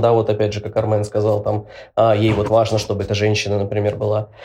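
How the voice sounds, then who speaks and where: A man speaking at a medium pitch can be heard with noticeable background noise. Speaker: podcast host, guest here. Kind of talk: casual chat. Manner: hesitant, many fillers.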